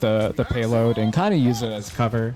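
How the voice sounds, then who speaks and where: Over music in the background, a man speaks at a fairly quick pace in a medium pitch. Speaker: gamer, ranked game commentator. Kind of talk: gameplay VOD review commentary. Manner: calm, soothing, ASMR-style.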